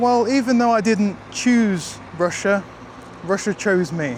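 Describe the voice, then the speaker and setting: Noticeable noise sits in the background while the man speaks fairly slowly. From England. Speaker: vlogger. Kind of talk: casual vlog monologue.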